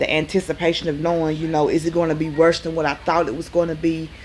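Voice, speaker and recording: A woman with a Southern US accent and a very deep, low voice. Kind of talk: casual talk to camera.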